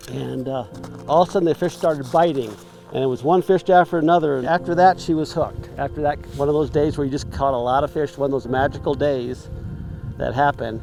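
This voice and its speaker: Noticeable background noise sits behind a man who talks very fast, his pitch fairly high with ordinary variation. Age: 60s. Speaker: retired angler. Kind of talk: casual interview. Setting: outdoors on a frozen lake.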